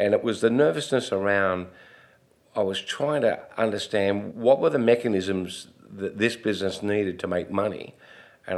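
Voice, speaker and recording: A man with an Australian accent, fairly low in pitch, at a moderate pace with ordinary pitch variation. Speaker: retail executive. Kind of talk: interview storytelling.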